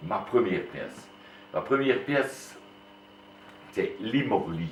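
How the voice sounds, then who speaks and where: A man speaks very slowly, his words echoing audibly around the room. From Wallonia, Belgium (Liège area). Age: 60s. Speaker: retired school headmaster and amateur Walloon theatre actor. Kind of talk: interview. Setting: classroom. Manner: hesitant, with frequent fillers.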